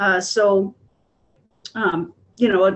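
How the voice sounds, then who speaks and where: The speaker is a woman with a medium pitch. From Illinois. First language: Spanish. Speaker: kindergarten teacher and board candidate. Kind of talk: panel discussion. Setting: video call.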